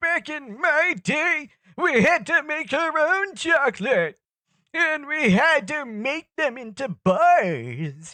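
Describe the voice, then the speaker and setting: A high-pitched, put-on character voice at a very slow pace. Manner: grumpy, complaining.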